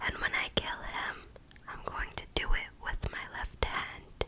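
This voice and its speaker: Noticeable background noise sits under the voice. A woman whispers at a very slow pace. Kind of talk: whispered audiobook-style reading of a YA romance novel, ASMR. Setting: close microphone recording. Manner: whispered, soft.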